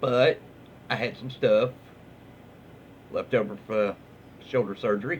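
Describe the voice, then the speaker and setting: A man with a Southern US accent talks at a fairly slow pace in a relaxed tone, with long, frequent pauses. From Southern US, Alabama. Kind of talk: casual reading of online stories. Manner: relaxed, hesitant.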